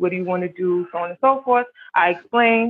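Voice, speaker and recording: Here is a woman with an ordinary speaking voice. She talks at a fairly quick pace. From the Bronx, New York. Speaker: panel guest.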